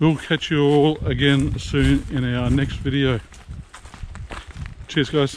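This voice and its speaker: Over noticeable background noise, the speech moves at a fairly slow pace with ordinary pitch variation. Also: man. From Australia. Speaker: travel vlogger. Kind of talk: casual vlog talk to camera.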